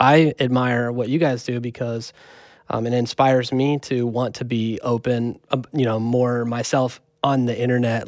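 A man's medium-pitched, monotone voice with flat intonation on a very clean recording with a silent background. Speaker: podcast co-host and music producer. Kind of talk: casual chat. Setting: studio.

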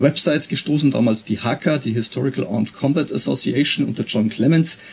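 A man at a moderate pace and medium pitch, with ordinary pitch variation and an unremarkable speaking voice. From Bavaria, Pfarrkirchen region. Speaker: police officer and historical fencing instructor. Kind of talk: interview.

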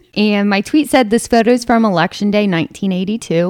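This is an ordinary speaking voice from a woman at medium pitch. She speaks at a fairly quick pace with ordinary pitch variation. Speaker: podcast co-host. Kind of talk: casual chat.

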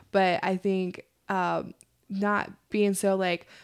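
On a very clean recording with a silent background, a woman speaks at a fairly low pitch. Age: 30s. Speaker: podcast co-host. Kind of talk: casual chat.

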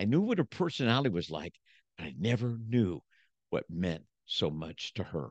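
Very wide pitch swings and vocal fry mark this man's speech, broken by long, frequent pauses. The sound is dry and close with no echo, over a quiet background. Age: 70s. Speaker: motivational speaker and preacher. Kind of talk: casual interview chat. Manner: animated.

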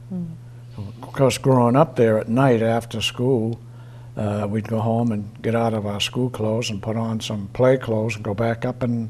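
A man's dark, mellow, somewhat breathy voice at a medium pitch, with an Eastern New England accent, fairly even intonation, and a fairly slow pace. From Easton, Massachusetts. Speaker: retiree sharing local memories. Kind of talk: oral history interview.

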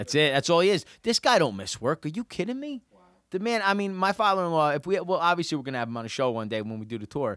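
A man with a New Jersey accent talks very fast at a fairly high pitch, his pitch swinging very widely. The sound is dry and close with no echo, on a very clean recording with a silent background. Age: 40s. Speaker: podcast host, real estate agent. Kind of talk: casual chat.

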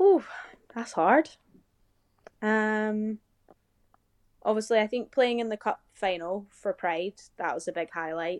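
Speaking in a British accent, a woman with a fairly high pitch goes at a fairly slow pace with long, frequent pauses, in a dry, close sound with no echo. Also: ordinary pitch variation, quiet background. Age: 20s. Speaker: professional basketball player. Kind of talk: casual interview.

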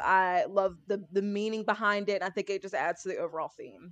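The speech moves at a fairly quick pace. It carries an American accent. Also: woman. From US South, rural. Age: 30s. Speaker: former English teacher and YouTuber. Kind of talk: casual chat.

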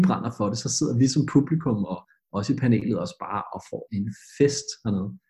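His tone is dark and mellow, with some vocal fry. The man's intonation is lively. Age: 20s. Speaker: schoolteacher, revue panel judge. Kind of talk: casual chat.

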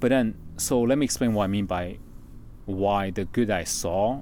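A man with a Chinese accent speaks at a fairly slow pace in a fairly low pitch. His tone is dark and mellow, with ordinary pitch variation. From China. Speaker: former network marketing entrepreneur. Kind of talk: casual chat.

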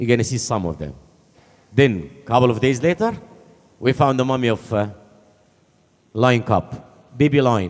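Using lively intonation and long, frequent pauses, a man with an Arabic accent speaks at a moderate pace and medium pitch. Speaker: archaeologist, antiquities official. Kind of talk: speech at event. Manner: animated.

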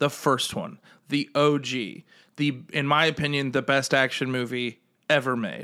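In a very clean recording with a silent background, a man with a fairly high pitch and a bright, sharp tone speaks at a fairly slow pace with ordinary pitch variation. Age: 30s. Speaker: podcast co-host. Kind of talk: casual chat.

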